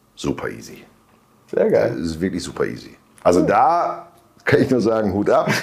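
At a moderate pace, a man talks with long, frequent pauses amid audible room echo. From northern Germany (Bielefeld). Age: 50s. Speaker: self-employed weight-loss client. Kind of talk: interview testimony. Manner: hesitant, many fillers.

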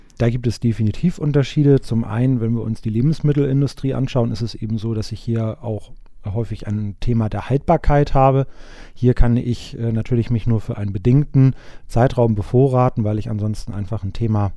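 A man with a plain, everyday voice speaks at a fairly quick pace, medium pitch and ordinary pitch variation. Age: 20s. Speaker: risk management consultant. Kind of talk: interview.

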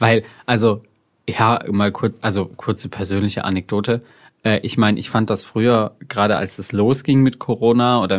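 With a fairly low pitch, this man uses a normal speaking voice, keeping a moderate pace and fairly even intonation. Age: 20s. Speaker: podcast co-host. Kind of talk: casual chat.

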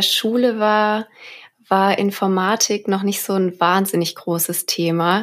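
A woman with a medium pitch speaks at a fairly slow pace. Her intonation stays fairly even. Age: 20s. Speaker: data engineer. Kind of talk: casual interview. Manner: hesitant, many fillers.

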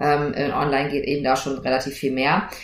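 A woman's very deep, low voice with audible room echo and noticeable background noise. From Germany, rural farm upbringing. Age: 40s. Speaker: lawyer and entrepreneur, podcast host. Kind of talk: solo podcast monologue. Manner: casual, lively.

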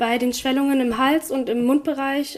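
This woman's voice sits high and moves at a fairly quick pace. Noticeable background noise runs beneath her. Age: 20s. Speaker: trainee in hospital administration with HAE. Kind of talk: interview testimony.

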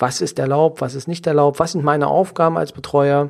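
The recording is very clean and the background silent. A man speaks in a fairly high pitch. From Saxony-Anhalt, near Magdeburg. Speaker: lawyer and professional legal guardian, podcast host. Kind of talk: solo podcast monologue. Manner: frequent filler hesitations (ähm).

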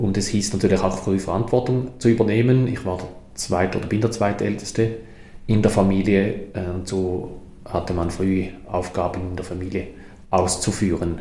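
Heard with audible room echo, a man with a very deep, low pitch speaks at a moderate pace and with fairly even intonation. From Switzerland, Toggenburg (St. Gallen). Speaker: mayor and politician. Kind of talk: interview conversation. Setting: town hall office.

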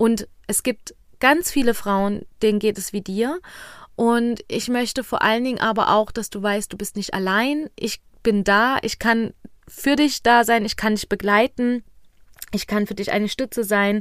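In a very clean recording with a silent background, the speech comes at a fairly slow pace. A plain, everyday voice keeps a fairly even intonation. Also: woman, fairly high pitch for a woman. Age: 20s. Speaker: fertility coach and podcast host. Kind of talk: solo podcast monologue.

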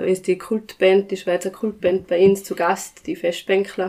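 Fairly slow speech from a woman at medium pitch, monotone and flat in intonation. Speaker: village band chairwoman, clarinetist. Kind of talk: casual interview.

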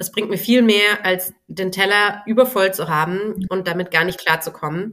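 A woman's bright, sharp voice at medium pitch and a moderate pace, with fairly even intonation and hardly any pauses. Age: 30s. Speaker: business mentor and time management coach. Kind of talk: casual interview.

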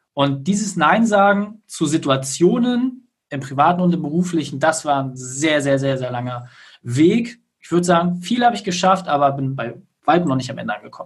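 At a moderate pace, a man in an ordinary speaking voice talks with a fairly high pitch, lively intonation and big swings in loudness. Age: 30s. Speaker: business consultant. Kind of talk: interview.

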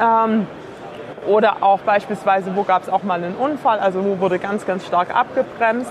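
Amid noticeable background noise, a woman speaks at a moderate pace with a medium pitch. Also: fairly even intonation. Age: 20s. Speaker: startup co-founder. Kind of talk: interview. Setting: trade fair.

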